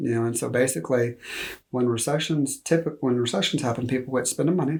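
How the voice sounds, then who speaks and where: Somewhat breathy, a man with a Texas accent and medium pitch talks at a very fast pace with ordinary pitch variation. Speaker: loan officer. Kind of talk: interview.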